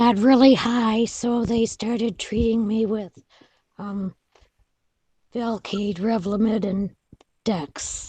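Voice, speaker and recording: Music plays behind a woman with a fairly high pitch. She speaks at a very slow pace with fairly even intonation. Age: 70s. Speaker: patient. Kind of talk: group video meeting discussion.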